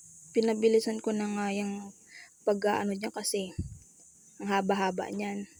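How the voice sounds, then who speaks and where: Soft-spoken and dark, mellow in tone, a woman talks in a monotone, flat way with big swings in loudness and long, frequent pauses. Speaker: vlogger. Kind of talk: casual vlog narration. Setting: at home, kitchen and bedroom. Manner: shy, soft-spoken.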